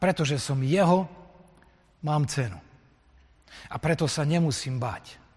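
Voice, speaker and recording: Speaking at a fairly slow pace with long, frequent pauses, a man with a fairly high pitch and a somewhat breathy voice shows ordinary pitch variation. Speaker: Lutheran pastor. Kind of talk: sermon. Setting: church.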